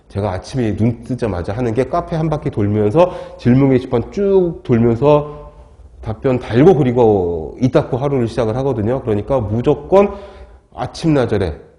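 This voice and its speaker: With lively intonation, a man speaks at a moderate pace over noticeable background noise. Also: medium pitch for a man. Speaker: lecturer. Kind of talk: lecture. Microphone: wearing a mask, muffled.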